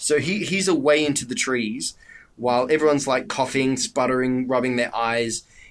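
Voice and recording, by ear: Here someone is reading aloud in a natural voice. Lively intonation carries the lines.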